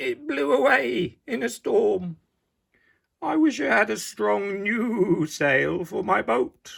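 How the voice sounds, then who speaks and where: A man puts on a raspy character voice, high-pitched and delivered at a very slow pace. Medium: read story.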